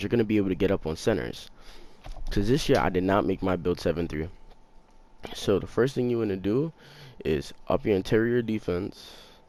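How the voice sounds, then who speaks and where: Quiet and fairly quick, a man with a fairly low pitch speaks with lively intonation. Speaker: gaming YouTuber. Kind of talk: gameplay tutorial. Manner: quiet, talking low; casual, slangy.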